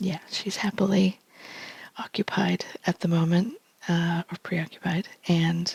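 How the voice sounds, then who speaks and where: A quiet woman with an American accent, medium-pitched, at a fairly slow pace, in dry, close sound with no echo. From United States. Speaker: tarot reader. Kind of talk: tarot reading vlog. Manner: hesitant, many fillers.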